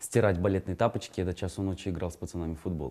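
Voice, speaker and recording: The man's pitch is very deep and low. Behind him the background stays quiet. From Kazakhstan. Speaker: actor. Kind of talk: interview. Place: studio. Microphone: lapel.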